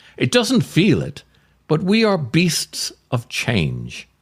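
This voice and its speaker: A man's voice sits fairly high and moves in very wide pitch swings. Vocal fry runs through his speech. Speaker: actor, writer. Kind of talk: comic essay reading.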